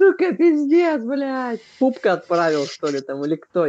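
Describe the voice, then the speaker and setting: A man at a moderate pace with lively intonation. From Vladivostok, Russia. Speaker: video chat user. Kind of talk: casual chat, heavy swearing. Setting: video chat. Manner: swearing, emotional. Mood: animated, swearing, complaining. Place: home room. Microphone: webcam.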